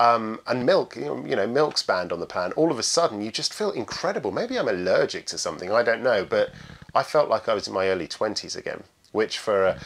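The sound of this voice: Lively in intonation, a man speaks at a fairly quick pace with a fairly low pitch, a fairly bright tone, a slightly husky edge and vocal fry.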